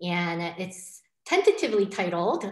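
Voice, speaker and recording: At a moderate pace, a woman talks in a fairly low voice with audible room echo against a quiet background. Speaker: professor. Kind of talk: lecture. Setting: video call. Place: home room. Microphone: webcam.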